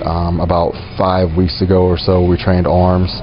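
Faint music sits in the background behind monotone, flat intonation. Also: man. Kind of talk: interview answer. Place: shop.

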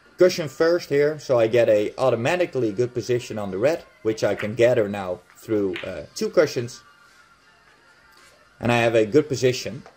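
Music in the background behind a man with a Dutch accent, medium pitch, lively intonation and a moderate pace. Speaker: billiards instructor. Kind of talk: game commentary tutorial.

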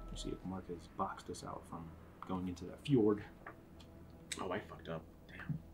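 An American accent at a moderate pace, with ordinary pitch variation and long, frequent pauses. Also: man, very deep, low pitch for a man. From US Northeast, Philadelphia. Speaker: board game channel host. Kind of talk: casual chat while teaching a board game.

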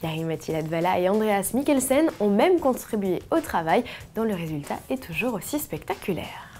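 A woman speaks at a moderate pace. Her pitch makes very wide swings. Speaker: video news presenter. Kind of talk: formal news reading, scripted bulletin. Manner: formal, steady, brisk newsreader delivery; even, polished, informative tone.

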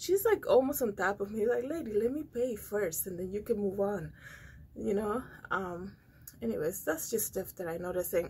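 The speaker sounds somewhat breathy and keeps a moderate pace. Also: woman. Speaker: vlogger. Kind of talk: casual vlog chat. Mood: calm, slightly amused. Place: studio. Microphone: phone near.

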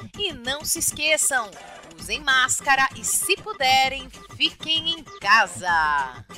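Over music in the background, a woman raises and projects her high-pitched voice at a very slow pace with very wide pitch swings. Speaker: educator. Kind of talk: playful children's radio news read.

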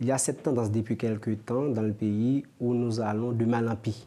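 Male voice at medium pitch, dark and mellow in tone. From Haiti. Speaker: security and defense studies professor. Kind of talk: interview. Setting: studio. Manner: halting. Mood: serious, analytical. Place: studio. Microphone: lapel.

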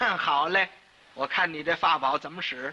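Talking at a very slow pace, a man is heard over noticeable background noise. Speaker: crosstalk performer. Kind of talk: solo comic storytelling.

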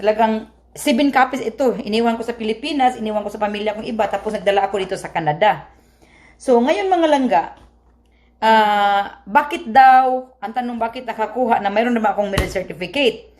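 A woman with a fairly high pitch and a Visayan accent, at a fairly quick pace. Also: ordinary pitch variation. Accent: Visayan accent in Tagalog. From Visayas, Philippines. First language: Cebuano (speaking Tagalog). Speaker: vlogger. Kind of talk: casual vlog explanation. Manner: halting.

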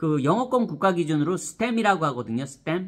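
A man's speech carries lively intonation, and the background is quiet. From South Korea. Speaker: education YouTuber; vlogger giving career advice. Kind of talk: vlog monologue to camera. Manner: animated. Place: home room. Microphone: phone near.

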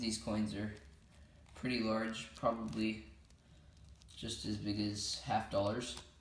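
A man talks with a fairly low pitch and vocal fry. He leaves long, frequent pauses. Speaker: coin collector. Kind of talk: casual talk to camera.

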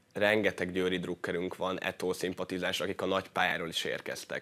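Here a man speaks at a fairly quick pace. His voice is very deep and low. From Hungary. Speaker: futsal player; guest. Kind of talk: sports interview. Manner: halting. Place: studio. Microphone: lapel.

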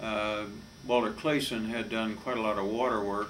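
There is noticeable background noise behind this man. His fairly low voice holds a monotone, flat intonation. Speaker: lawyer giving oral history. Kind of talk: interview answer. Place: office.

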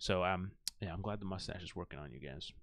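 Against a quiet background, a man talks very fast in a very deep, low pitch with ordinary pitch variation and a dry sound with no echo. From Indian heritage. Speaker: YouTuber. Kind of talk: solo commentary reading Wikipedia aloud. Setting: home recording with live chat. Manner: halting; casual. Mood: playful, joking. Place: home room.

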